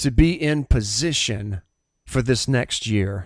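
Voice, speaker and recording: Recorded very cleanly against a silent background, a man speaks with a Southern US accent and lively intonation. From US South. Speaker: pastor and podcast host. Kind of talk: sermon-style podcast monologue; testimony.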